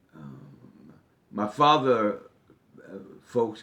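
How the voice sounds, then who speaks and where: Speaking at a very slow pace, a man with an American accent uses vocal fry. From US Northeast, Newark, New Jersey. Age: 60s. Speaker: political candidate. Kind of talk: interview. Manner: hesitant, many fillers.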